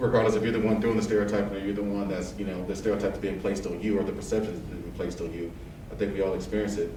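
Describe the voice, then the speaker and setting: A man with an American accent, very fast, fairly low-pitched and monotone, flat, amid noticeable background noise and audible room echo. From Texas, east side of San Antonio. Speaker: air force technical sergeant. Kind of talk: casual interview.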